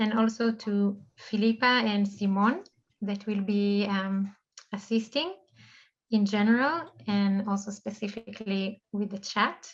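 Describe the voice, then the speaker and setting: The woman's voice is medium in pitch and somewhat breathy. She speaks fairly slowly, with fairly even intonation. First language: not English. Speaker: online event host. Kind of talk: event opening remarks. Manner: halting, many fillers.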